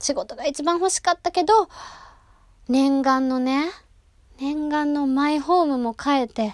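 Recorded very cleanly against a silent background, a woman's voice sounds dry and close, without any echo. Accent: Kansai. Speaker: actress and gravure model hosting a solo talk podcast. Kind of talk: solo casual monologue. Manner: animated.

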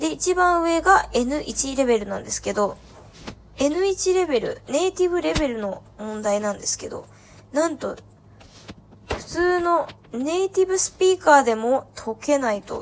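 A woman talks at a fairly slow pace, her voice moving in very wide pitch swings. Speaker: podcast host, student abroad. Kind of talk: solo casual talk. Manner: chatty, with laughs.

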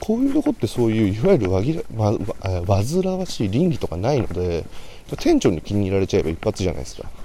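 A man talks quietly. His pace is very fast. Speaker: salesman podcaster. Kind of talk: solo casual monologue. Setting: outdoors, walking to station. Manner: somewhat quiet.

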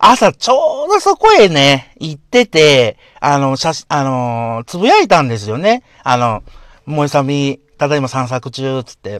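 With lively intonation and a fairly high pitch, a man's voice sounds dry and close, with no echo. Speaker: podcaster. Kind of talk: casual monologue. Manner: animated.

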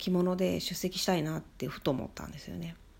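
A woman speaks at a very deep, low pitch with vocal fry. The recording is very clean, with a silent background. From Shikoku, Japan. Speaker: podcaster. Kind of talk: solo monologue.

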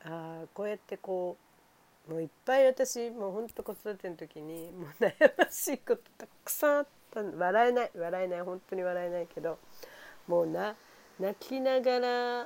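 A woman's medium-pitched, animated voice with lively intonation, big swings in loudness, and a moderate pace. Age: 50s. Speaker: home care nurse. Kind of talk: casual monologue.

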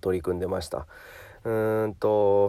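A man talks at a moderate pace with a relaxed, dark, mellow tone. The recording is very clean, with a silent background. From Japan, Hyogo. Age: 30s. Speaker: personal trainer. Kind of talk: podcast monologue. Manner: relaxed, many fillers.

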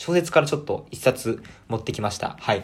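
An animated man, fairly high in pitch, with very wide pitch swings at a fairly quick pace on a very clean recording with a silent background. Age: 20s. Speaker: podcaster. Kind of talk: casual solo talk.

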